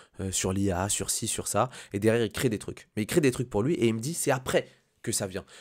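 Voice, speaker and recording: Recorded very cleanly against silence, a man talks at a fairly quick pace with a medium pitch and ordinary pitch variation. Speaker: business and motivation YouTuber. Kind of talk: casual freestyle vlog monologue. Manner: fast; hesitant, many fillers.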